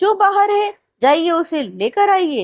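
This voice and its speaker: An extremely high-pitched, put-on character voice from a woman. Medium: read story. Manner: commanding, royal.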